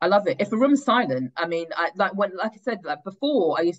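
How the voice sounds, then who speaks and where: In a London accent, the speaker talks at a very fast pace with very wide pitch swings. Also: woman. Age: 30s. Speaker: stand-up comedian and writer. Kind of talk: podcast interview.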